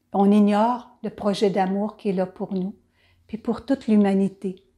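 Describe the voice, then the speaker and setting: A woman speaks at a fairly slow pace in a medium pitch, her tone warm and gentle yet dark and mellow, with monotone, flat intonation. The recording is very clean, with a silent background. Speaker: children's Bible storyteller. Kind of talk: storytelling and reflection for children. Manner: warm, gentle address to children.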